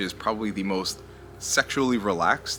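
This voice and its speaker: Quietly and at a fairly quick pace, a man talks at a medium pitch. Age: 30s. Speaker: commentary youtuber. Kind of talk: casual monologue commentary. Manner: lowered voice, talking quietly.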